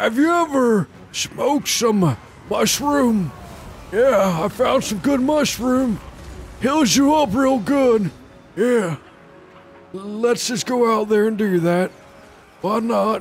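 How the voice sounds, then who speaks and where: Over clear background noise, a man puts on a character voice at extremely high pitch, moving at a very slow pace with long, frequent pauses. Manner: rambling, unhinged.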